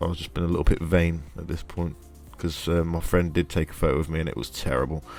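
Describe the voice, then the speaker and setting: Music plays in the background behind a man. His pitch is very deep and low, and he speaks at a very fast pace. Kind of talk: moto vlog commentary. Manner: hesitant, many fillers.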